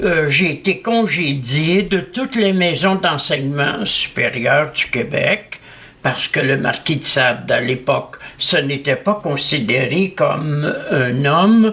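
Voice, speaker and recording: Over noticeable background noise, a man speaks very slowly at a fairly high pitch, his intonation lively and his loudness very even. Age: 80s+. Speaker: philosopher. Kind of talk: interview. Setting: at his home.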